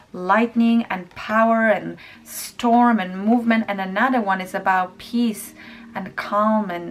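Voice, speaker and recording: A woman speaks at a medium pitch. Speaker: tarot reader. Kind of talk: tarot reading to camera.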